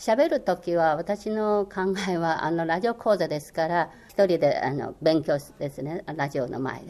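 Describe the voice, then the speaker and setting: Speaking at a fairly slow pace with a Chinese accent, a woman uses lively intonation and a fairly low pitch. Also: big swings in loudness. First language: Chinese (speaking Japanese). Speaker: former Chinese language course instructor. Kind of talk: interview. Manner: hesitant, many fillers.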